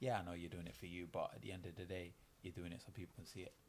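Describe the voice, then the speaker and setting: A man with a slight Manchester accent, very deep and low in pitch, somewhat breathy, at a very fast pace. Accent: picking up a slight Manchester. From East London. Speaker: professional boxer. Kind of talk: casual interview.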